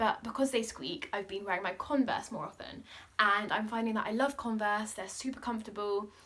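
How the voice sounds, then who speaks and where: A woman talks at a fairly quick pace with ordinary pitch variation. Her fairly high voice has a bright, sharp tone. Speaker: lifestyle vlogger. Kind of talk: casual chat. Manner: fast; animated.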